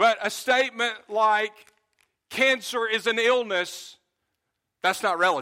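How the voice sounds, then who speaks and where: Raising and projecting his voice, a man with a bright, sharp tone and high pitch speaks with ordinary pitch variation and long, frequent pauses. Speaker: pastor. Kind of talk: sermon. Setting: church. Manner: loud.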